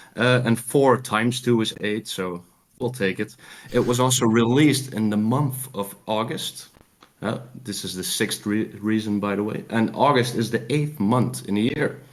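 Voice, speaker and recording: A man with a Dutch accent, moderate pace and fairly even intonation. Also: medium pitch for a man. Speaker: caller. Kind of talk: game pitch.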